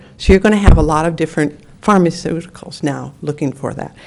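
Her pitch fairly low and ordinarily varied, a woman talks in a plain, everyday voice. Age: 60s. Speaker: public commenter at council meeting. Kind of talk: public comment testimony.

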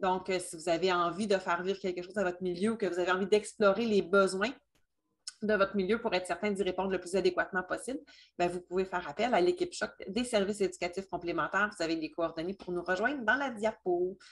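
A woman at medium pitch talks very fast, her intonation fairly even. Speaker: remedial teacher. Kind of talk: webinar presentation.

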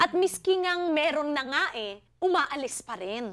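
A raised, projected voice with a bright, sharp tone and very wide swings in pitch. The background is quiet. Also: woman. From Philippines. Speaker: TV talk show host. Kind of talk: TV panel discussion. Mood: warm, engaged. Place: studio.

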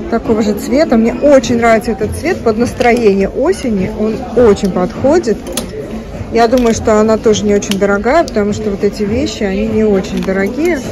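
With ordinary pitch variation and a moderate pace, a woman talks as noticeable background noise carries on. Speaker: shopping vlogger. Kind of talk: casual vlog commentary. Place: shop. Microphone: phone near.

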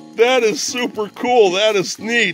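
A man speaking at a very slow pace, faint music in the background. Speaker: unboxing vlogger. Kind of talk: casual vlog chat. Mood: cheerful, amused. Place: home room. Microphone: phone near.

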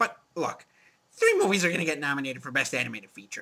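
Using a cartoonish character voice, the speaker moves at a fairly quick pace. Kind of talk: movie review show. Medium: puppet.

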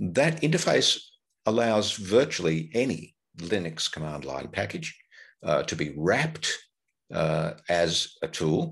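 A man speaks with long, frequent pauses against a quiet background. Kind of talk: lecture.

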